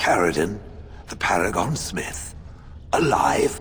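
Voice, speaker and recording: A man puts on a character voice with a very deep, low pitch, speaking at a fairly slow pace against clear background noise. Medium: video game. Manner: formal, stilted.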